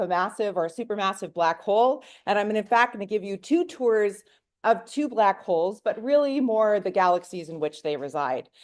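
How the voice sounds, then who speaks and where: A woman's fairly high, animated voice with lively intonation at a moderate pace, against a quiet background. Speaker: professor. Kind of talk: public lecture. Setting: lecture hall with audience.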